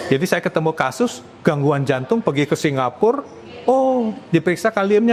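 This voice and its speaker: A man speaks at a moderate pace with high pitch and lively intonation. There is noticeable background noise. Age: 70s. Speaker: medical doctor. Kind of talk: podcast interview.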